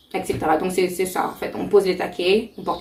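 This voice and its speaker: There is noticeable background noise as a woman talks at a very fast pace. Her fairly low voice stays monotone and flat. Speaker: YouTuber, beauty vlogger. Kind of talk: tutorial.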